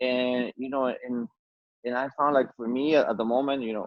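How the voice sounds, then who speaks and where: A man with an Ecuadorian accent and fairly even intonation. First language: Spanish. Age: 40s. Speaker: musician. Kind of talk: casual chat. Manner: halting, many repetitions and fillers.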